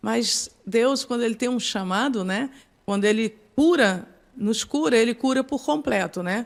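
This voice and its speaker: A woman's fairly high-pitched voice, ordinary pitch variation, and a fairly slow pace. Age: 60s. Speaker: psychoanalyst and pastor. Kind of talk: podcast interview. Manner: halting.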